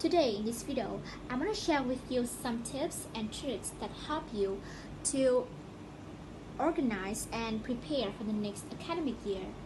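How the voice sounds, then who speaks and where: Over noticeable background noise, a woman speaks at a high pitch and a fairly slow pace with ordinary pitch variation. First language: not English. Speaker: student podcaster. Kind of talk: casual educational podcast talk.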